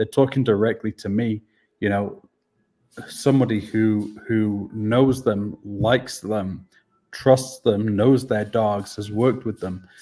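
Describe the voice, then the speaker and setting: A man with a Welsh accent speaks at a fairly slow pace in a fairly low pitch, his tone dark and mellow with fairly even intonation. The recording is very clean and the background silent. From Wales. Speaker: dog training business owner. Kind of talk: interview. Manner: hesitant, many fillers.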